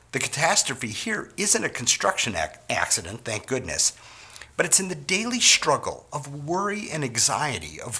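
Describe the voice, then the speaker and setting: An American accent with very wide pitch swings over noticeable background noise. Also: man. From US Midwest, Wisconsin. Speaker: sales trainer. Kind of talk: training talk.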